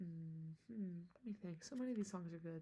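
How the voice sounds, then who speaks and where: The speaker is soft-spoken and somewhat breathy, with a dark, mellow tone. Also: woman. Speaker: ASMR creator. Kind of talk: ASMR talk to camera.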